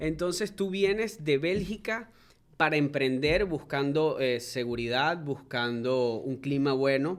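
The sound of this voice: A man speaks at a slow pace. His pitch is fairly high. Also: ordinary pitch variation, few pauses.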